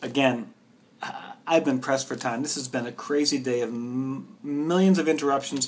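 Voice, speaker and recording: An ordinary speaking voice from a man, pitched fairly high, moderate in pace, with ordinary pitch variation. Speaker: bookseller. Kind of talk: book recommendations video.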